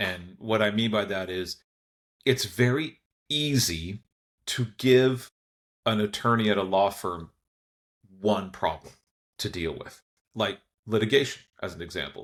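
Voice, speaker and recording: A man with an American accent speaks fairly slowly at a fairly low pitch, leaving long, frequent pauses. His pitch variation is ordinary, and the recording is very clean with a silent background. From United States. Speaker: lawyer. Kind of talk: podcast interview.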